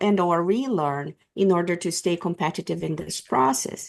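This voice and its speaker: A woman with a Japanese accent speaks at a medium pitch. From Brazil. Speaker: HR strategist. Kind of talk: interview. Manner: halting.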